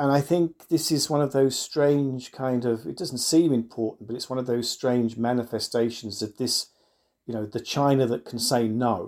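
Recorded very cleanly with a silent background, a man with an unremarkable speaking voice talks at a moderate pace and medium pitch with ordinary pitch variation. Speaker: professor. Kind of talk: panel discussion.

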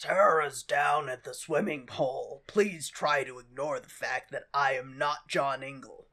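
A man's put-on character voice, raspy and fairly high, at a moderate pace with hardly any pauses. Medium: solo performance. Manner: gruff, comic overacting.

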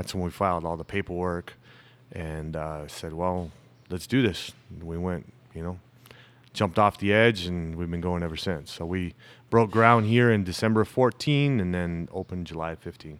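Very deep and low in pitch, a man with a Southwestern US accent talks at a moderate pace with ordinary pitch variation. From US Southwest, Tucson Arizona. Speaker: brewery owner. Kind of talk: casual interview chat.

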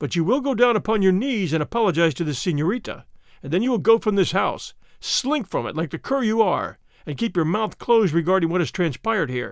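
A man's put-on character voice, high-pitched with vocal fry and big pitch swings, at a fairly quick pace in a very clean recording with a silent background

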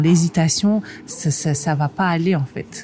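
Against noticeable background noise, a woman talks very slowly in a fairly low voice. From northern France. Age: 30s. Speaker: magazine editor and entrepreneur. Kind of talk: interview. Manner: halting.

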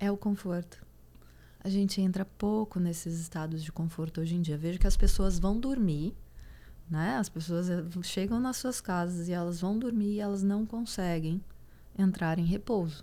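A woman speaks at medium pitch and moderate pace. Her tone is dark and mellow. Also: ordinary pitch variation. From Goiás, Brazil. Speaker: psychologist and former competitive swimmer. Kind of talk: casual interview.

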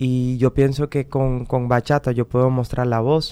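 Delivered in a flat monotone, this man's voice has a dark, mellow tone and a non-native accent. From Netherlands. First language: Dutch (speaking Spanish). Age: 30s. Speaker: singer. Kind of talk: interview. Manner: halting.

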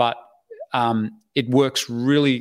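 Fairly even in intonation, a man speaks at medium pitch with an Australian accent. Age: 50s. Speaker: online business educator and website investor. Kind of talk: interview. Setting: livestream video call.

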